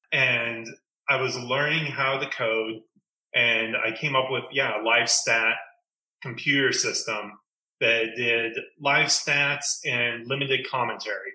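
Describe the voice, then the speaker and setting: With an American accent, a man speaks in a bright, sharp tone at a very slow pace. His intonation is monotone and flat, and audible room echo surrounds him. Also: medium pitch for a man. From Oregon, Creswell. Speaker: former basketball team manager. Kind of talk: interview.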